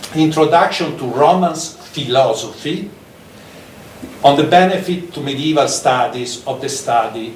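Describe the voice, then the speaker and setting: A man's fairly high voice at a fairly slow pace, with ordinary pitch variation, noticeable background noise and audible room echo. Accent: strong Italian. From Italy. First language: Italian. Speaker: professor. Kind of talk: lecture. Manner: halting, many fillers.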